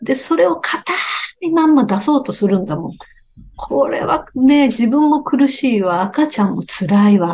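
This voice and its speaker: High female speech with very wide pitch swings, moderately paced. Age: 60s. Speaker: beauty expert and company founder. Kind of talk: interview talk. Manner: animated.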